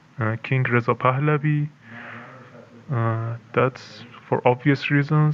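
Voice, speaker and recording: A man talks at a very slow pace in a flat monotone at medium pitch, with noticeable background noise behind him. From Iran. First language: Persian. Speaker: anonymous insider. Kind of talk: interview. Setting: video call, camera off. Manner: halting, many fillers.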